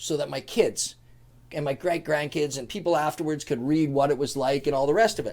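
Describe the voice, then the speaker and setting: Over a silent background in a very clean recording, a man with a Canadian accent and a plain, everyday voice speaks at a fairly quick pace with a fairly high pitch. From Canada, Prince George, British Columbia. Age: 50s. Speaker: businessman and author. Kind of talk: casual interview storytelling.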